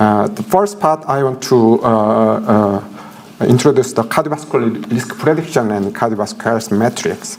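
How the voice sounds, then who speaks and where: Against noticeable background noise, a man with a Korean accent and a medium pitch speaks at a moderate pace with very wide pitch swings. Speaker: professor. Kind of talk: lecture. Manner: halting, many fillers.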